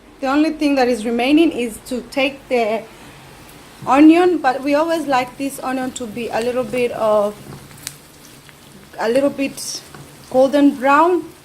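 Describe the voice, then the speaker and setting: Over noticeable background noise, a woman with a Kenyan accent and a high voice speaks at a fairly slow pace with ordinary pitch variation and long, frequent pauses. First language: Kikuyu. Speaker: cooking vlogger. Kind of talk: cooking tutorial. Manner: casual, halting.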